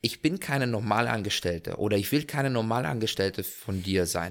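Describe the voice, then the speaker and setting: This man has an unremarkable speaking voice, fairly low in pitch, with ordinary pitch variation. He talks at a moderate pace on a very clean recording with a silent background. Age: 20s. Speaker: hot air balloon pilot. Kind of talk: casual interview chat.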